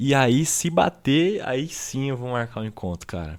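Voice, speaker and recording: Over a silent background in a very clean recording, a man speaks very slowly with lively intonation. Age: 20s. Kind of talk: casual solo monologue. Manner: casual, filler-heavy.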